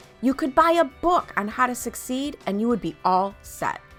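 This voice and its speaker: Music plays behind a woman speaking at a moderate pace. Her high pitch makes very wide swings. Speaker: business coach and podcast host. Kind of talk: podcast intro read.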